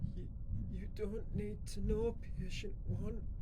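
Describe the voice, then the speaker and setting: Someone does a put-on character voice at a fairly slow pace over loud background noise. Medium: audio drama. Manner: scared, defensive.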